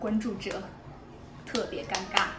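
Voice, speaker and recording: She talks at a fairly slow pace. Clear music can be heard in the background. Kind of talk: casual vlog chat. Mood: friendly, a little sheepish. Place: cafe. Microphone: phone near.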